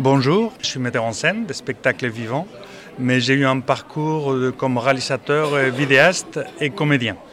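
The speech moves at a fairly slow pace with ordinary pitch variation. Noticeable background noise sits behind it. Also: man, medium pitch for a man. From Spain. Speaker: theatre director. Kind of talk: interview. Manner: halting.

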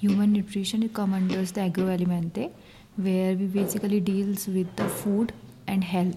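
A woman speaks at a moderate pace in a somewhat breathy, medium-pitched voice with a dark, mellow tone. Her intonation is monotone and flat, and her loudness stays very even. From North India. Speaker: exchange student. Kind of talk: interview. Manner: halting.

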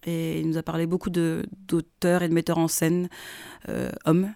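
Speaking at a moderate pace, a woman has a fairly low pitch and a dark, mellow tone. The recording is very clean, with a silent background. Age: 30s. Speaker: theatre director. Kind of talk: interview.

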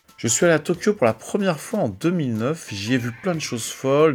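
Music is playing in the background. A man talks at a fairly quick pace with lively intonation. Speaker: music radio show host. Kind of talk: radio music show presentation.

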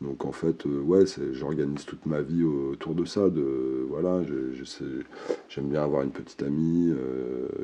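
A man speaks very slowly in a very deep, low voice with fairly even intonation. Noticeable background noise runs underneath. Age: 40s. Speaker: interviewee sharing testimony on hearing voices. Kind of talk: testimony. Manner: halting.

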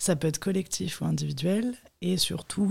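Her voice fairly low, a woman speaks with a dark, mellow tone that is somewhat breathy. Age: 20s. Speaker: photographer. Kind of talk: interview. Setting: studio.

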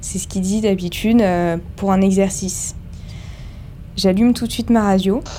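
Monotone, flat delivery at a moderate pace, with long, frequent pauses and noticeable background noise. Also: woman, medium pitch for a woman. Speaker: ship nurse. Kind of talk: testimony.

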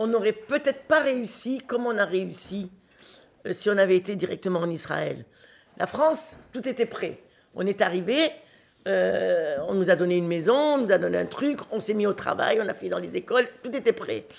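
Lively intonation and vocal fry at a moderate pace. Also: woman, medium pitch for a woman. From Morocco (Oujda), French family. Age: 70s. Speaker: interviewee, elderly relative. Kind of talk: casual chat.

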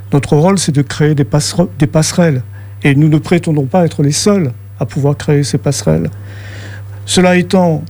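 A man delivers his words at a moderate speed with lively intonation, noticeable background noise audible behind him. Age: 60s. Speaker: activist. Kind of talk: radio interview.

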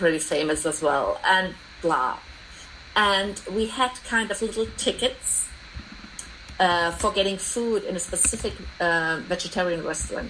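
Amid noticeable background noise, a woman with a German accent speaks at a fairly slow pace with long, frequent pauses, medium pitch and ordinary pitch variation. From East Germany. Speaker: commons activist. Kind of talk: research interview.

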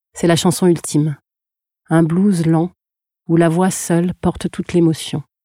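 In a dry, close sound with no echo, a woman with a fairly low pitch and a dark, mellow tone speaks at a fairly slow pace with long, frequent pauses, very even loudness and a monotone, flat intonation. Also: very clean recording, silent background. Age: 40s. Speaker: podcast producer and singing student. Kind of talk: scripted narration.

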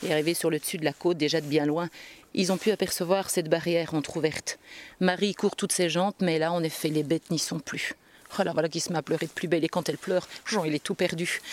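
Talking at a very fast pace, a woman with a fairly low pitch comes through in a very clean recording with a silent background and a dry, close sound without echo. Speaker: storyteller. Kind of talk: live folk tale storytelling to an audience, narrative with voiced dialogue. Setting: stage with audience at a storytelling festival. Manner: animated, expressive, lively narration with character voices.

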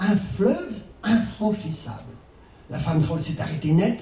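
Over noticeable background noise and audible room echo, a man with a high pitch talks at a very slow pace. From Brittany, France. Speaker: storyteller. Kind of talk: storytelling to a live audience. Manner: expressive, with rhythmic repetition.

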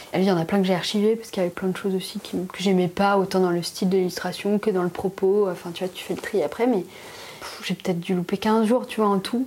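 Noticeable background noise surrounds a woman who speaks at a very fast pace. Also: medium pitch for a woman. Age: 30s. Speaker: illustrator and graphic designer. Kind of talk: casual chat. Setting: at her home.

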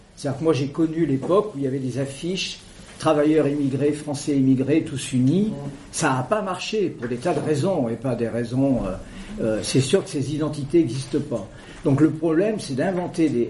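Against noticeable background noise and audible room echo, a man speaks at a moderate pace with a fairly high pitch and ordinary pitch variation. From central France, Creuse. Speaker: debate speaker, anarchist collective member. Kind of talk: public talk. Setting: debate room with audience.

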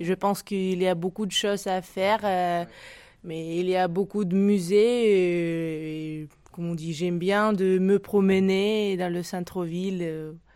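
With a Russian accent, a woman speaks at medium pitch in a dark, mellow tone and monotone, flat intonation. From Tajikistan and Russia. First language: Russian (speaking French). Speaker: exiled French learner. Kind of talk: casual chat. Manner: halting.

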